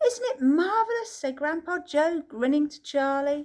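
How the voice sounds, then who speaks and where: A woman's squeaky, put-on character voice, high-pitched with very wide pitch swings, at a moderate pace. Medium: read story.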